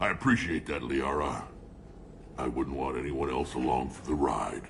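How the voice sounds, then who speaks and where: A man puts on a character voice with a very deep, low pitch. He moves at a moderate pace over clear background noise. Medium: video game. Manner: gruff, blunt.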